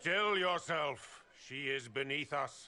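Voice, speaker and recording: In a put-on character voice, a man speaks raspily at a fairly high pitch and a fairly slow pace, with ordinary pitch variation. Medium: video game. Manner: haughty, commanding.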